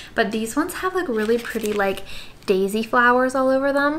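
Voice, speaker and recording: A woman speaks fairly quickly, her pitch moving in an ordinary way, with light noise in the background. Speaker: vlogger. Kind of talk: casual haul vlog chat. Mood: excited, upbeat. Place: home room.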